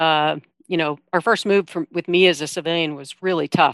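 With an American accent, a woman talks at a moderate pace in an ordinary speaking voice, fairly low in pitch with fairly even intonation. The sound is dry and close with no echo, and the background is quiet. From Iowa. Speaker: army veteran, service dog charity worker. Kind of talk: interview.

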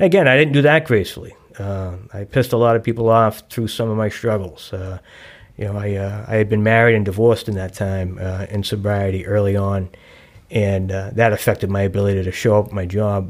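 A man speaks at a fairly low pitch with a Boston accent and fairly even intonation. The recording is very clean, with a silent background. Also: fairly quick pace. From South Boston, Massachusetts. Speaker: person in long-term recovery. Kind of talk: recovery testimony. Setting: studio at a recovery center.

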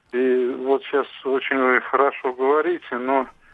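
In a monotone, flat intonation, a man talks with a fairly high pitch. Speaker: caller. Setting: phone call. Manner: halting.

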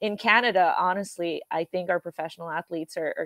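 A woman at a medium pitch delivers her words at a very fast pace. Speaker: ski racer, ski shop tech and coach. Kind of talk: casual podcast interview. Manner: halting, filler-heavy.

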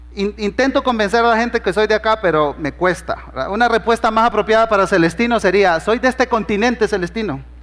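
Speech comes at a fairly quick pace, with ordinary pitch variation and very even loudness. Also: man, high pitch for a man. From Honduras. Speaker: pastor. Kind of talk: sermon.

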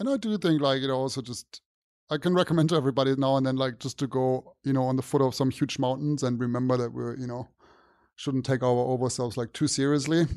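The speaker has a German accent and talks at a very fast pace with fairly even intonation. The background is quiet. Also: man, medium pitch for a man. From southern Germany. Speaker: company chief executive. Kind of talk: interview. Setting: studio. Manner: casual, with many fillers.

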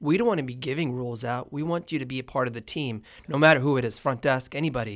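With an American accent, a man speaks very fast at a medium pitch with ordinary pitch variation. The recording is very clean, its background silent. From Houston, Texas. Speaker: hotel owner and entrepreneur. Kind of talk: casual interview.

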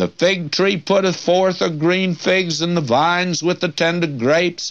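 A man at a high pitch and fairly slow pace, with ordinary pitch variation and very even loudness, over a quiet background. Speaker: Bible teacher. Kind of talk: Bible teaching sermon. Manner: folksy, conversational, preacherly.

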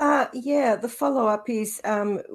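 Set against a quiet background, the speaker uses an Australian accent at a fairly slow pace. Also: woman. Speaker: co-host. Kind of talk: interview. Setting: video call.

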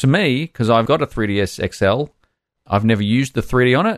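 A man of medium pitch speaks with an Australian accent in a dry, close sound with no echo and a quiet background. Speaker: podcast host. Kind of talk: casual chat.

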